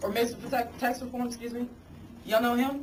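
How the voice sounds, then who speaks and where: A woman with a high-pitched voice speaks amid audible room echo. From Arkansas. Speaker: congressional candidate. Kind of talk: campaign speech. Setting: committee meeting with audience. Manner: animated.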